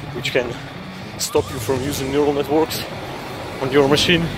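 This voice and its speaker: A man with a non-native accent speaks at a medium pitch against noticeable background noise. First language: not English. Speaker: software engineer. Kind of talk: casual tech news talk to camera. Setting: outdoors. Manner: out of breath, talking while running.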